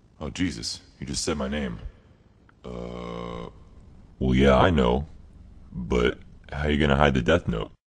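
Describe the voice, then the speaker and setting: In a cartoonish character voice, a man speaks with a very deep, low pitch at a fairly slow pace, leaving long, frequent pauses. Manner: sarcastic, deadpan.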